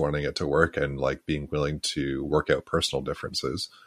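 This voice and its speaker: Vocal fry runs through this fairly quick delivery with a Canadian accent, captured on a very clean recording with a silent background. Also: man. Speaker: podcast co-host. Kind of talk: casual chat.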